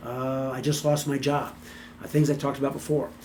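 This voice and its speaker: In a room with audible echo, a man with a fairly high pitch talks at a very fast pace. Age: 60s. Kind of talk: motivational talk to camera. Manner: casual, halting with many fillers and repeats.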